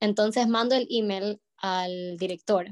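The recording carries a plain, everyday voice with ordinary pitch variation in a dry, close sound with no echo. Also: woman. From Ecuador, Guayaquil. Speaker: ballet dancer. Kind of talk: interview.

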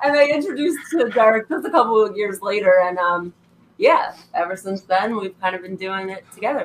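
With an unremarkable speaking voice at medium pitch, a woman talks at a fairly quick pace, with lively intonation and big swings in loudness. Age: 20s. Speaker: artist. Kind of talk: casual chat.

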